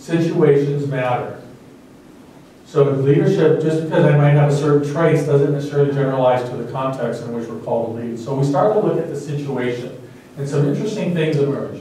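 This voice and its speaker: A man's fairly quick speech at a fairly high pitch with ordinary pitch variation, amid audible room echo and noticeable background noise. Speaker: dean giving a leadership seminar. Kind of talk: lecture. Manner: fast.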